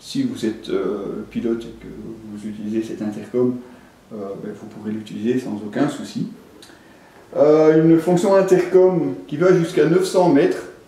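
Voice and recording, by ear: In strong room echo, a man with a medium-pitched voice and a dark, mellow tone speaks at a moderate pace with fairly even intonation.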